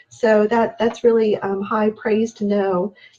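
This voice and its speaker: With monotone, flat intonation, a woman speaks at medium pitch and a moderate pace over noticeable background noise. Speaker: natural products consultant. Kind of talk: live sales stream. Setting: live video stream. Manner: halting, many ums.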